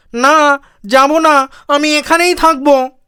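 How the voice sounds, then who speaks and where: A put-on character voice, high in pitch and nasal. The intonation is monotone and flat. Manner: defiant, eerie.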